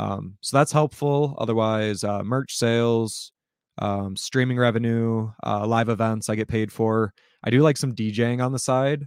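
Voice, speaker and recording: In a very clean recording with a silent background and a dry, close sound with no echo, a man with an unremarkable speaking voice talks at a fairly slow pace in a medium pitch with fairly even intonation. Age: 20s. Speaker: hip hop musician and content creator. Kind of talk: casual interview chat.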